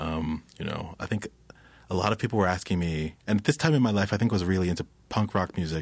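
A man with an American accent and a very deep, low voice talks at a very fast pace with ordinary pitch variation in a very clean recording with a silent background. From Philadelphia, Uganda, Kenya, London. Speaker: musician.

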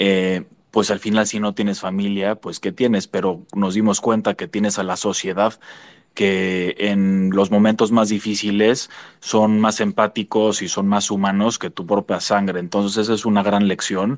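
A man's fairly low voice, fairly slow and monotone, with flat intonation. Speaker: son of a former prisoner. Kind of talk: online panel interview.

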